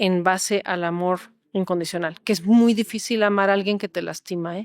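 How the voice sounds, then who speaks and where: On a very clean recording with a silent background, a woman with an unremarkable speaking voice talks at a medium pitch with fairly even intonation and a dry, close sound with no echo. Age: 60s. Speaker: holistic therapist. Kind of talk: interview.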